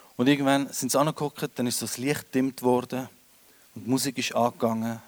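A man with a normal speaking voice, fairly even intonation and a moderate pace, in a dry, close sound with no echo. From Switzerland, Winterthur. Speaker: comedian. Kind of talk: stand-up. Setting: stage with audience.

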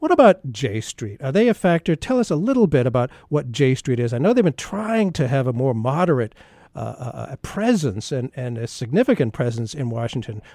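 At a fairly quick pace with hardly any pauses, a man speaks in a dark, mellow tone at a medium pitch with lively intonation, the sound dry and close with no echo on a very clean recording with a silent background. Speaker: radio host. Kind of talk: interview discussion.

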